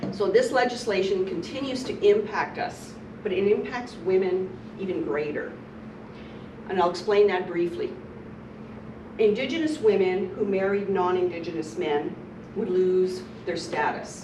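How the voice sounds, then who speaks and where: Speaking at a moderate pace, a woman with a medium-pitched voice uses lively intonation and takes long, frequent pauses. Room echo is audible and background noise is noticeable. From Manitoba, Canada (First Nations community). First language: Ojibwe. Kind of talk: lecture.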